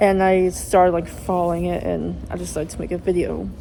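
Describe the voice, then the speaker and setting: Audible room echo surrounds a woman's voice. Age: young, university student. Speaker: YouTuber making callout videos. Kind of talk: rant to camera. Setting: outdoors on campus grass. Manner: animated, indignant.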